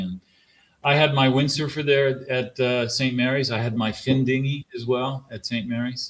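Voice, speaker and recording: A man speaks in a plain, everyday voice with an American accent. His pitch is medium and his pace fairly slow. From US East Coast. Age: 40s. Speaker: sailmaker. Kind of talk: casual chat.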